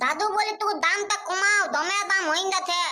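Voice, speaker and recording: A cartoonish character voice sits at an extremely high pitch. The pace is moderate. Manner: eager, naive.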